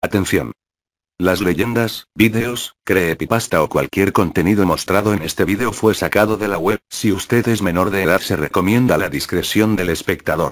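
A man with an unremarkable speaking voice talks at a moderate pace, fairly low in pitch, with ordinary pitch variation. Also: very clean recording, silent background. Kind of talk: ghost story narration, creepypasta read aloud.

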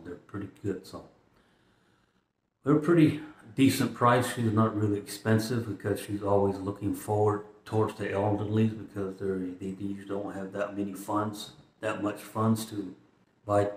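A man's somewhat breathy, fairly low voice at a moderate pace, with fairly even intonation, long and frequent pauses, and audible room echo. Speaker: vlogger. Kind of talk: casual vlog chat. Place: home room. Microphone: phone near.

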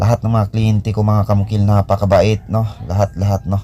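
Moderately paced talk with noticeable noise in the background. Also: man. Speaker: construction contractor and vlogger. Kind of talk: casual vlog narration.

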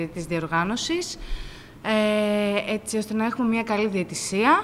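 A woman at a moderate pace with ordinary pitch variation, over light background noise. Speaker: chess referee. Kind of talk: press statement. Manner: halting.

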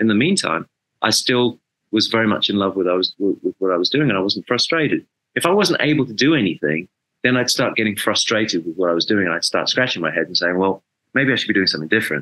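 Against a quiet background, a man with an English accent speaks very fast in a fairly low pitch, his bright, sharp tone holding very even loudness under lively intonation. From England. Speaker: rock bass player; interview guest. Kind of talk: interview. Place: home room. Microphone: webcam.

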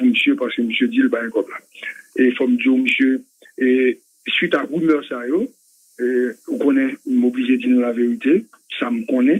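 The background is quiet. A man is speaking. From Haiti. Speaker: political commentator. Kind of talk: political commentary. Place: studio.

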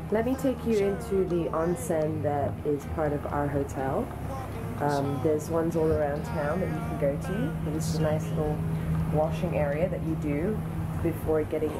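A woman's speech comes at a moderate pace against loud background noise. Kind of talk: casual vlog chat. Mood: cheerful, excited. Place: home room. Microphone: phone near.

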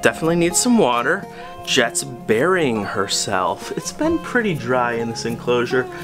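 A man speaks at a fairly slow pace while clear music plays in the background. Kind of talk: casual vlog chat. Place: home room. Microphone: phone near.

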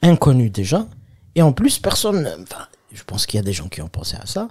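Lively intonation in a man's somewhat breathy speech. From Algeria, Kabylie. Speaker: comedian. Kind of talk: casual chat.

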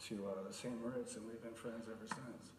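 At a moderate pace and with fairly even intonation, a man talks amid light background noise and audible room echo. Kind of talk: eulogy speech. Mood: emotional, hesitant, fond. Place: hall. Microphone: podium.

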